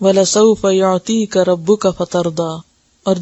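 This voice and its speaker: A woman with a plain, everyday voice speaks at a medium pitch with fairly even intonation. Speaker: Islamic scholar. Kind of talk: religious lecture on Quran.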